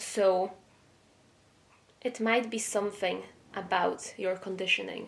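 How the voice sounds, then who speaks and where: The speaker has a non-native accent and a monotone, flat intonation. The pace is fairly slow, with long, frequent pauses. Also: woman, medium pitch for a woman. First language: not English. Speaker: tarot reader. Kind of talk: tarot reading. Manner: hesitant, with fillers.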